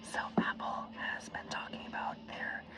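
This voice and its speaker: A woman whispers while noticeable background noise carries on around her. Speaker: ASMR YouTuber. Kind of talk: ASMR unboxing, casual talk to camera. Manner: whispered.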